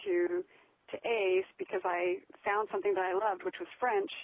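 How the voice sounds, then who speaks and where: In an ordinary speaking voice with an American accent, a woman speaks at a moderate pace with ordinary pitch variation. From United States. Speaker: blogger and author. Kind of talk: interview. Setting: phone call.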